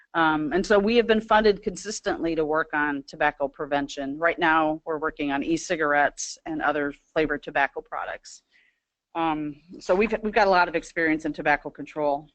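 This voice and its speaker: With lively intonation and a fairly low pitch, a woman speaks at a moderate pace in a dry, close sound with no echo over a quiet background. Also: big swings in loudness. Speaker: medical society staff presenter. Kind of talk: webinar presentation. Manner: hesitant, many fillers.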